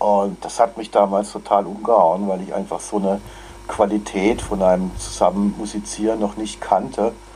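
At a moderate pace and fairly low pitch, a man talks in a monotone, flat intonation over noticeable background noise. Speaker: choir conductor. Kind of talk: interview. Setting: video call.

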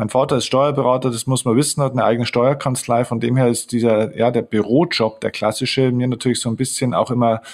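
The man's voice sits at a medium pitch and moves at a moderate pace on a very clean recording with a silent background. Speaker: mental coach and author. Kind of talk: interview. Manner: energetic.

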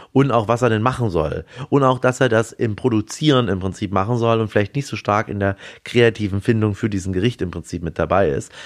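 Against a quiet background, a man speaks at a fairly quick pace and fairly low pitch with ordinary pitch variation. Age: 30s. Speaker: restaurateur. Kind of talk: interview. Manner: hesitant with fillers.

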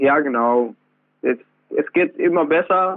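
A man at a moderate pace. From Afghanistan, then Iran. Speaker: trainee electrician and author. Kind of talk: interview. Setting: phone call. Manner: halting.

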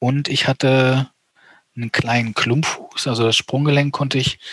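Heard in a dry, close sound with no echo, a man talks fairly slowly. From eastern Germany. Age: 30s. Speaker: amputee motocross rider. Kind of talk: interview.

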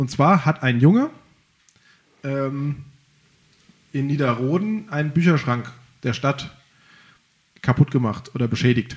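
Fairly high-pitched and somewhat breathy, a man speaks at a fairly slow pace with long, frequent pauses. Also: ordinary pitch variation. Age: 30s. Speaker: local podcast host. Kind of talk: casual chat.

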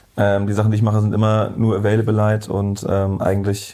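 At a moderate pace, a man speaks with a fairly low pitch. His tone is dark and mellow. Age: 30s. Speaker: photographer. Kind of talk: casual interview. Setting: in-person recording.

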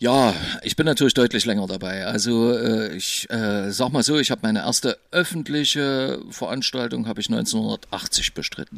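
In a normal speaking voice, a man of medium pitch speaks at a moderate pace with ordinary pitch variation. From East Germany. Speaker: DJ. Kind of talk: casual chat.

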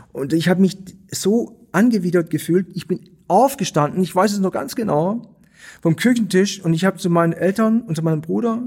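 This man has a high pitch and a dark, mellow tone with a slight Swabian accent. His intonation is lively and his pace moderate. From Stuttgart, Swabia. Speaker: artist and theatre director. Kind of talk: interview conversation.

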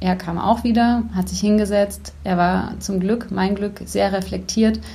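A woman with a dark, mellow tone sounds somewhat breathy, and audible room echo surrounds her voice. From Bavaria, Germany (Neuburg an der Donau). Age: 30s. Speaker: life coach. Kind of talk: interview.

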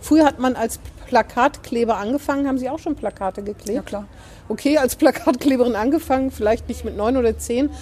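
A woman with a high pitch and a dark, mellow tone speaks at a fairly quick pace with ordinary pitch variation. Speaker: newspaper podcast host. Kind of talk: casual interview chat. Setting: outdoors in front of the door.

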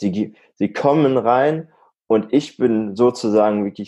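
The man's voice has a dark, mellow tone. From Germany, Münsterland (Warendorf). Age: 20s. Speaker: deputy department head and trainer. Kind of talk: interview.

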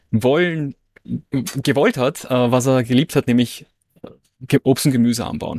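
A man with a normal speaking voice talks at a moderate pace and medium pitch with fairly even intonation. The recording is very clean with a silent background and a dry, close sound with no echo. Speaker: online entrepreneur and business coach. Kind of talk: casual interview conversation.

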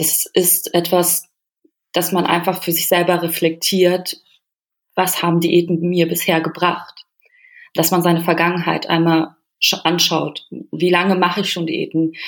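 Long, frequent pauses break up the speech. The pace is fairly slow and the intonation monotone and flat. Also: woman, fairly low pitch for a woman. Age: 30s. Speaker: nutritionist and psychological counselor. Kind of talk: interview. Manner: halting, with fillers.

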